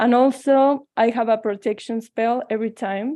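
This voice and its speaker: A woman talks in a Mexican accent with a fairly high pitch. Her tone is dark and mellow over a quiet background. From Mexico. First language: Spanish. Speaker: tarot reader.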